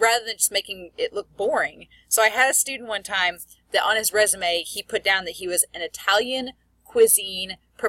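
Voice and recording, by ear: Someone is reading aloud in a natural voice. The text is read aloud in a natural voice throughout.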